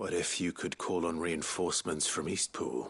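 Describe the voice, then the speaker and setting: A man's put-on character voice, raspy and very deep in pitch, calm in tone, at a moderate pace. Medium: short film. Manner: calm, earnest.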